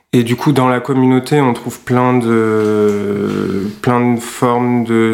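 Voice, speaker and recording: A man at a very slow pace with monotone, flat intonation, amid audible room echo and noticeable background noise. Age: 30s. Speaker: web developer, music producer. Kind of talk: testimony.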